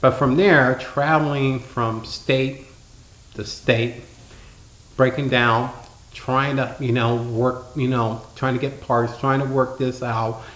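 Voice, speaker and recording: A man with an American accent speaks at a medium pitch in a monotone, flat intonation. There is audible room echo. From Ohio, Youngstown. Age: 50s. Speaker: interviewee telling life story. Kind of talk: interview. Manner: halting.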